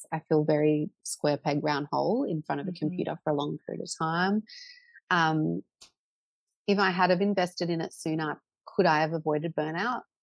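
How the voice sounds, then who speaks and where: A woman's very deep, low voice in an Australian accent, with ordinary pitch variation. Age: 30s. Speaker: portrait photographer. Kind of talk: interview. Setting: podcast recording.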